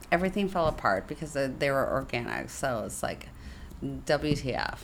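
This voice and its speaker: A woman's animated voice with vocal fry and very wide pitch swings. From San Francisco. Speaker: podcast co-host, writer. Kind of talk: casual chat. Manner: animated, laughing often.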